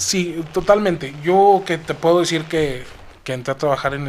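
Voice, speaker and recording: A man speaks at a fairly slow pace in an ordinary speaking voice with ordinary pitch variation. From Mexico, Zacatecas. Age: 20s. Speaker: young politician and public servant. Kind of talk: interview.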